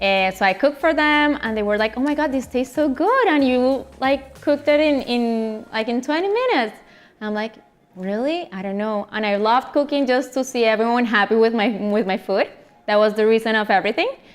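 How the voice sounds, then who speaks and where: Over noticeable background noise, a woman speaks in a Colombian accent. Her pitch is high, her pace fairly quick and her pitch variation ordinary. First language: Spanish. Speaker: chef and food influencer. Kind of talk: interview. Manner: halting, with many fillers and repetitions.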